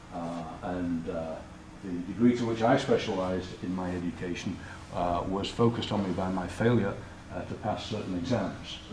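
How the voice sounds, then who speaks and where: With a British accent, a man of very deep, low pitch speaks at a moderate pace and fairly even intonation, with audible room echo and noticeable background noise. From Britain. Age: 60s. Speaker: college president. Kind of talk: talk to an audience. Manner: low-key, relaxed; hesitant with fillers.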